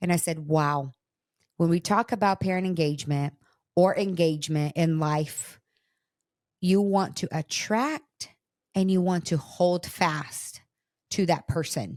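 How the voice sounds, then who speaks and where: Over a very clean recording with a silent background, the speaker uses a Portuguese accent at a fairly slow pace, with ordinary pitch variation and long, frequent pauses. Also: woman, fairly low pitch for a woman. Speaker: podcast host, parenting researcher. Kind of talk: casual chat.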